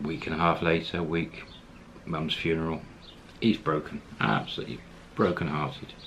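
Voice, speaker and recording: There is light background noise as a man speaks at a moderate pace. His voice is very deep and low, with fairly even intonation. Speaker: storyteller. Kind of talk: casual storytelling to camera.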